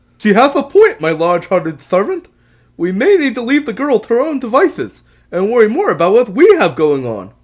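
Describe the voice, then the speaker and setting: A put-on character voice at a fairly high pitch swings very widely in pitch at a fairly quick pace on a very clean recording with a silent background. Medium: read story. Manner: grandiose, commanding.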